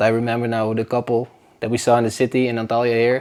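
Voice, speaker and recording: A man with a Dutch accent talks at a very fast pace in a monotone, flat intonation. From northern Netherlands. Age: 20s. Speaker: podcast host. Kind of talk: casual chat. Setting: home, on a sofa. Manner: casual, hesitant.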